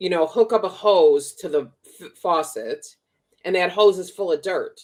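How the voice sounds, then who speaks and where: In a Chicago accent, a woman speaks with an animated tone at a moderate pace and medium pitch, with ordinary pitch variation and big swings in loudness. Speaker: spiritual teacher and podcast co-host. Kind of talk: casual chat.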